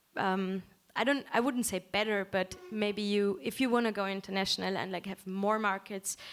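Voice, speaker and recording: A woman's medium-pitched voice in a German accent, moderate in pace with fairly even intonation, in a very clean recording with a silent background. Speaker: musician. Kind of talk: panel discussion.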